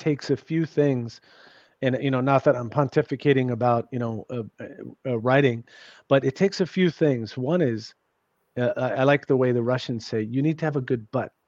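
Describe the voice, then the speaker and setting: A man with an unremarkable speaking voice talks at medium pitch and a moderate pace, in an American accent with ordinary pitch variation. The sound is dry and close with no echo, and the background is quiet. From New York City. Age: 50s. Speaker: author and journalist. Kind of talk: casual interview chat. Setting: remote call.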